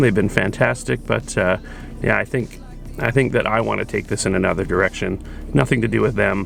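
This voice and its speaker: A man's fairly low voice comes through noticeable background noise. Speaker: photography youtuber. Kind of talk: casual vlog. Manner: hesitant, many fillers.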